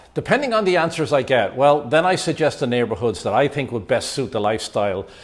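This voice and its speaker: A man talks at a fairly quick pace and a medium pitch. His pitch swings very widely. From Ireland. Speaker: YouTube vlogger and real estate agent. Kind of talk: casual vlog talk to camera.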